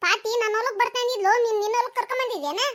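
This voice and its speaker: A woman does a cartoonish character voice, squeaky and extremely high in pitch. Her pace is fairly quick and her pitch variation ordinary. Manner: sharp, combative.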